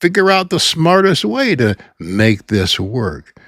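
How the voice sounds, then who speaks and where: A man speaks at a fairly slow pace, his pitch swinging very widely. The recording is very clean, with a silent background. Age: 80s+. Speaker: YouTube coach. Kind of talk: motivational talk.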